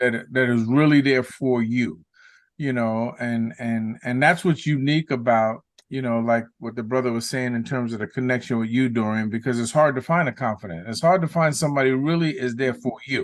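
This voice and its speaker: Against a quiet background, a man with an American accent has an ordinary speaking voice, medium-pitched with ordinary pitch variation, at a fairly quick pace. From New York, South Bronx. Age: 60s. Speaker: guest. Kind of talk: casual chat.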